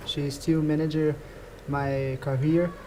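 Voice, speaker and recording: Speaking very slowly, a man with a Portuguese accent uses a fairly high pitch. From Brazil. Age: 20s. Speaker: badminton player. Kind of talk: interview. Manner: halting.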